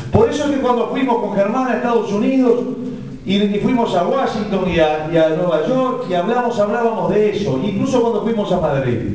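Strong room echo and light background noise surround a man who speaks at a moderate pace with lively intonation. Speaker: candidate. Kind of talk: campaign speech. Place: hall. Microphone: podium.

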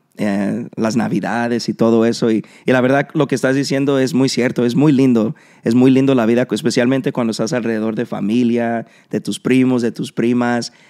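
A man's intonation stays fairly even as he talks at a moderate pace, with a quiet background behind him. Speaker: podcast host. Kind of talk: casual interview. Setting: in a shop. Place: studio. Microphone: studio mic.

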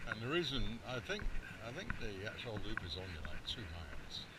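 Over loud background noise, a man speaks at a moderate pace with ordinary pitch variation. The sound itself is dry, with no echo. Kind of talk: casual vlog chat. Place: forest. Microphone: phone near.

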